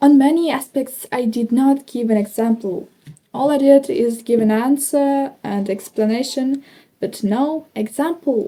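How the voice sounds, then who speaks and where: This voice has a dark, mellow tone and a Ukrainian accent. The pace is fairly slow, with ordinary pitch variation. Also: woman, high pitch for a woman. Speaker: English learner vlogger. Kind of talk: speaking practice monologue. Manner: slow, hesitant.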